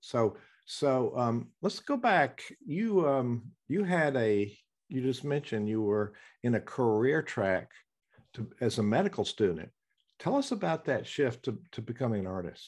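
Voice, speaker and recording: A man's medium-pitched voice in a Southern US accent, at a fairly slow pace with very wide pitch swings, on a very clean recording with a silent background. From US South. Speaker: podcast host and musician. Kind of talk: interview.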